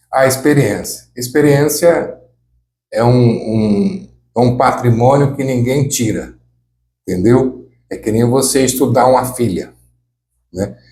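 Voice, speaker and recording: A man speaks with a dark, mellow tone that is somewhat breathy. He uses long, frequent pauses. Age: 60s. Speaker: former mayor and radio reporter. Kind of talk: life story interview. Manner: casual, halting with repetitions.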